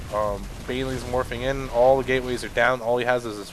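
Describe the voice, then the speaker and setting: A man's medium-pitched voice with fairly even intonation, audible room echo and noticeable background noise. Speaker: game commentator. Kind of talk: live commentary. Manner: monotone.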